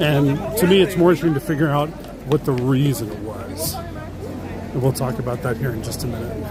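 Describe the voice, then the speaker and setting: Crowd noise fills the background, and the room echo is audible. A man with a fairly high pitch talks at a fairly quick pace, his pitch varying in an ordinary way. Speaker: theme park vlogger. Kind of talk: live stream walking tour. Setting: outdoors at a theme park. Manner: fast.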